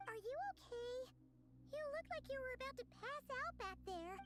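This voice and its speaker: This is a put-on character voice, squeaky and at an extremely high pitch. It moves along at a moderate pace. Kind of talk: game voice acting. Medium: video game. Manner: soft, warm, gentle.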